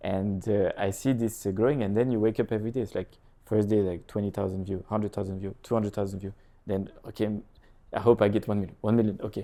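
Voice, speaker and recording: Speaking at a very fast pace, a man with a French accent has a fairly low pitch and a dark, mellow tone, his intonation monotone and flat. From France, Lille area (north). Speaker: real estate agent and content creator. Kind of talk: casual interview chat. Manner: halting.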